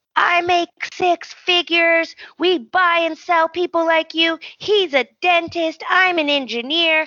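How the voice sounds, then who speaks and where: Shouting in a put-on character voice, a woman hits an extremely high pitch. Her pace is fairly slow and her intonation fairly even. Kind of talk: boastful. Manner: yelling, mocking.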